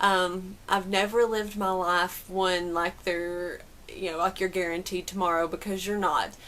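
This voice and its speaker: A woman with a Southern US accent speaks at a fairly slow pace, her medium-pitched voice bright and sharp in tone and monotone and flat in intonation, on a very clean recording with a silent background. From Southern United States. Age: 30s. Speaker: amateur runner. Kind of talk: casual talk to camera.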